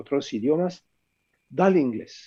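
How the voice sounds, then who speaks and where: The speaker has a French accent. The intonation is lively. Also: man. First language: French (speaking Spanish). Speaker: author, philosopher. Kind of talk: book presentation talk.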